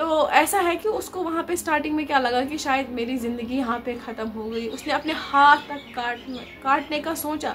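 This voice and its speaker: With hardly any pauses, a high-pitched woman speaks with ordinary pitch variation over noticeable background noise. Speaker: vlogger and story writer. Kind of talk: casual storytelling vlog. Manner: conversational, repeats filler words.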